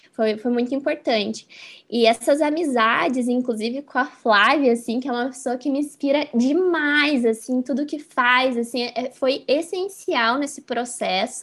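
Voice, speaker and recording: In a very clean recording with a silent background, a woman speaks at a high pitch and a fairly slow pace with hardly any pauses. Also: ordinary pitch variation. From Curitiba, southern Brazil (moved from interior São Paulo aged 3-4). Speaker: communications professional. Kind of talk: interview.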